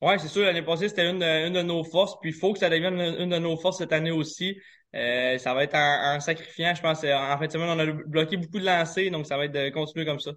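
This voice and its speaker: A man speaks at a very fast pace. His pitch is high, with fairly even intonation. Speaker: professional hockey player. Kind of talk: interview.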